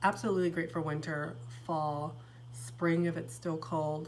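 An enthusiastic, somewhat breathy voice over light background noise. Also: woman. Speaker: fragrance reviewer. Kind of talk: casual talk to camera. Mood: enthusiastic, warm. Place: home room. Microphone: phone near.

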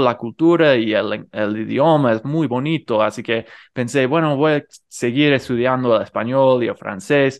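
At a fairly slow pace, a man with a non-native accent speaks at a medium pitch with ordinary pitch variation over a quiet background. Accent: non-native Rioplatense Spanish. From United States. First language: English (speaking Spanish). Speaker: polyglot youtuber. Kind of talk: interview.

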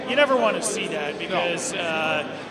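A man's speech comes through loud background noise. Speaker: interview guest. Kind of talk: interview answer. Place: stadium. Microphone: handheld.

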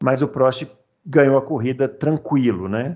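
This man's pitch varies in an ordinary way as he speaks at a moderate pace over a quiet background. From Brazil. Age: 40s. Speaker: podcast host. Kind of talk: casual chat. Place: home room. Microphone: headset.

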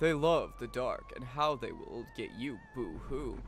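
Cackling in a put-on character voice, a man speaks at a fairly slow pace over clear background noise. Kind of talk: spooky comic villain voices. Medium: game stream. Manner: gloating, mocking, cackling.

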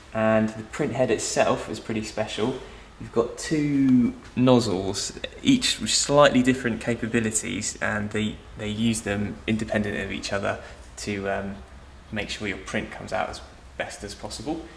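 Over light background noise and audible room echo, a man speaks with fairly even intonation. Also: moderate pace. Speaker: presenter. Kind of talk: product demo tutorial. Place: shop.

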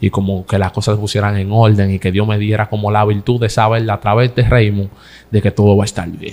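A man's fairly low voice, very fast and delivered in a flat monotone. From Dominican Republic, San Isidro, Santo Domingo Este; Dominican Republic. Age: 20s. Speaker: comedian. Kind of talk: interview. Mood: earnest, emotional at times. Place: studio. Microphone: studio mic.

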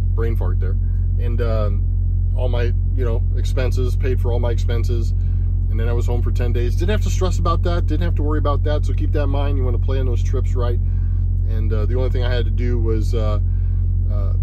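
A man talking at a fairly quick pace, dry sound with no echo, music in the background. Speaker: truck driver vlogger. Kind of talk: casual vlog chat. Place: car.

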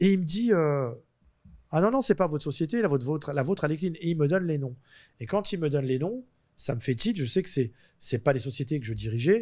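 A man's very fast speech, fairly high in pitch, with a dark, mellow tone. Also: quiet background. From France. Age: 50s. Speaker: convicted fraudster; interview guest. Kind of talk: interview storytelling. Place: studio. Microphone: studio mic.

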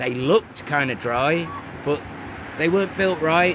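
The sound is dry with no echo, though noticeable background noise runs underneath. A man talks with lively intonation. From northern England. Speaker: stonemason. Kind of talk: casual chat. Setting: outdoors. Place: open country.

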